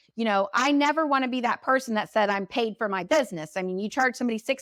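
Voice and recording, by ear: The voice has a fairly bright tone and ordinary pitch variation. It moves at a fast pace. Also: woman.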